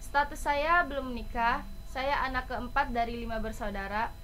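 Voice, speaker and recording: Over noticeable background noise and audible room echo, a woman speaks at a moderate pace in a high voice with ordinary pitch variation. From Indonesia, Surabaya (East Java) then West Java. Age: 20s. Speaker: college student. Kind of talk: self-introduction presentation, read from script.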